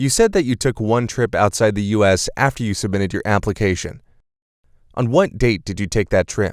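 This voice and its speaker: In a very clean recording with a silent background and a dry, close sound with no echo, a man with a plain, everyday voice speaks at a fairly quick pace, his pitch fairly low and its variation ordinary. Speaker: interviewing officer. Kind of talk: interview questions.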